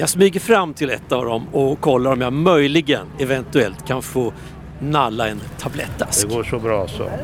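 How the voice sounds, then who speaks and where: A man's voice with very wide pitch swings and a moderate pace, over noticeable background noise. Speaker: radio reporter. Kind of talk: on-location field report. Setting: outdoors at an event.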